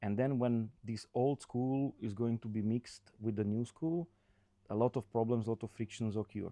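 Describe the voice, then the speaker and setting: Dry and close with no echo, this dark, mellow voice with a non-native accent moves at a moderate pace in fairly even intonation. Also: man, medium pitch for a man. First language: not English. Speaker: construction consultant. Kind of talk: casual chat. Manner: halting.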